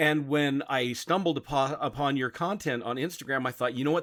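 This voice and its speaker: Here a man speaks at a fairly high pitch. His pitch varies in an ordinary way. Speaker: podcast host. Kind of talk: interview. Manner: smooth.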